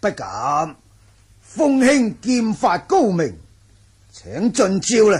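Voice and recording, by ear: Putting on a character voice, a man speaks high and slow with very wide pitch swings. His tone is slightly mellow with a slightly husky edge.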